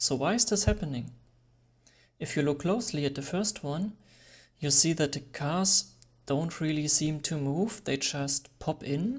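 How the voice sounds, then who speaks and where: A non-native accent at a fairly slow pace, with long, frequent pauses, on a very clean recording with a silent background. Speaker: photography tutorial creator. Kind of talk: tutorial.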